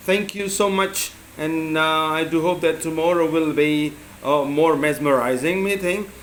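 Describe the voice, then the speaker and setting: A man talks at a fairly slow pace with fairly even intonation, amid noticeable background noise and audible room echo. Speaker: English teacher. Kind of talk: spoken assignment reflection. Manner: halting, many fillers; loud.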